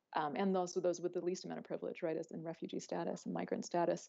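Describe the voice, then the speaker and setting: At a very fast pace, a woman with a Southwestern US accent speaks in a dark, mellow tone with vocal fry and fairly even intonation. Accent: US Southwest American. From US Southwest. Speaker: academic panelist. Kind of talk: panel discussion. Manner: halting with many fillers.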